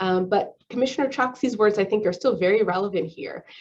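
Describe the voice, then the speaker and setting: The speech comes at a very fast pace. Its pitch varies in an ordinary way. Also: woman. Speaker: public health physician and official. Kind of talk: presentation with slides. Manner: many fillers (um, uh).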